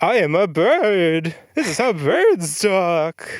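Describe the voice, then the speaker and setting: At a very slow pace and a middle pitch, a put-on character voice comes through on a very clean recording with a silent background. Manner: televangelist-style, preachy.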